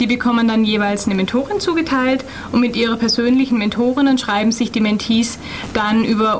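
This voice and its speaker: A woman speaks at a fairly quick pace with a fairly high pitch. Her pitch variation is ordinary, and there is noticeable background noise. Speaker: project coordinator. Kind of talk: radio interview. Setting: studio.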